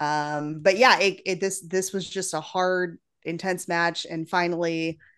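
With an ordinary speaking voice, a woman talks at a fairly slow pace in a fairly low pitch with fairly even intonation against a quiet background. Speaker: podcast co-host and wrestling fan. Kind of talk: casual podcast chat.

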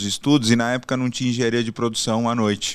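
In a very clean recording with a silent background, an ordinary speaking voice moves at a moderate pace. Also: man. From São Paulo, Brazil. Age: 40s. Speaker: logistics executive. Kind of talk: interview.

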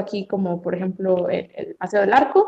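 A woman is speaking. Her intonation is lively. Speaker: hotel receptionist. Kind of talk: casual chat. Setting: video call.

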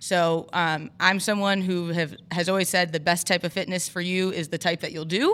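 A woman with an American accent, fairly low in pitch, in a monotone, flat intonation at a moderate pace with hardly any pauses, on a very clean recording with a silent background. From Michigan. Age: 30s. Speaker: gym owner and fitness coach. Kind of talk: casual interview. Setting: studio.

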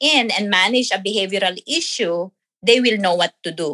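A woman's bright, sharp, medium-pitched voice at a moderate pace, with ordinary pitch variation and a dry, close sound with no echo. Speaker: nurse and parent. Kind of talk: interview.

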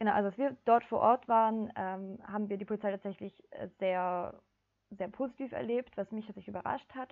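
A woman speaks in a plain, everyday voice at a fairly high pitch. Her intonation is fairly even and her pace fairly quick. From southern Germany (Ulm). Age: 20s. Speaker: climate activist, psychology student. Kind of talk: casual interview.

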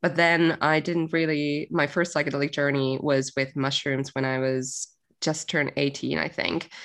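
Woman with a very deep, low pitch and a Finnish accent, moderate pace, quiet background. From Finland. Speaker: music industry marketer and coach. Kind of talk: podcast interview. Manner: casual, hesitant with fillers.

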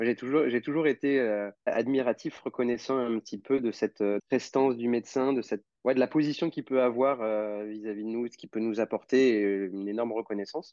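Speaking fairly quickly, a man uses a plain, everyday voice at a medium pitch with fairly even intonation. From France (Normandy / Lyon). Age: 20s. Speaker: osteopath. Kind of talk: casual interview.

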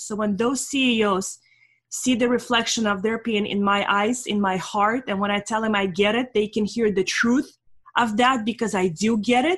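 An ordinary speaking voice from a woman, fairly high in pitch with ordinary variation, at a moderate pace. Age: 40s. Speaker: business consultant. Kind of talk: interview.

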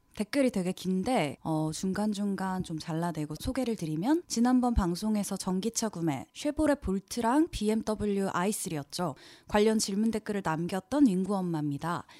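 A woman speaks at a medium pitch in a dark, mellow tone with lively intonation. The recording is very clean and dry, close with no echo and a silent background. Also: moderate pace. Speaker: podcast co-host. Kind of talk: casual chat.

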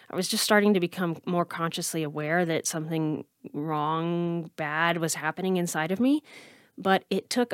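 A woman with an ordinary speaking voice and a fairly low pitch speaks at a moderate pace, in a dry, close sound with no echo on a very clean recording with a silent background. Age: 30s. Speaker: podcast host and anxiety coach. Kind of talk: casual interview.

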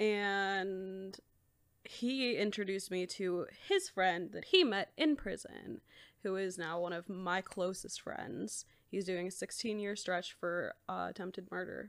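A woman's plain, everyday voice at a medium pitch and a fairly slow pace, with ordinary pitch variation, in a very clean recording with a silent background. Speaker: sociology graduate. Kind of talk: casual chat.

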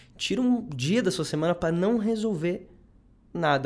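Lively intonation marks this man's speech, heard with audible room echo. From southern Brazil, Rio Grande do Sul. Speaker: psychologist, doctoral researcher. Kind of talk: casual interview chat.

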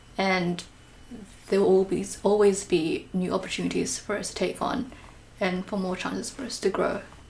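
A woman speaks at a moderate pace with a medium pitch and fairly even intonation. Noticeable background noise runs behind her. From Malaysia. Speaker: podcast host. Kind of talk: casual interview chat.

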